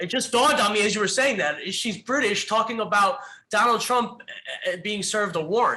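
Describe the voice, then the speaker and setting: Raising and projecting his voice, a man speaks at a fairly quick pace in a high pitch with a bright, sharp tone and ordinary pitch variation. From New Jersey. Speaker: podcast producer. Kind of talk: casual chat.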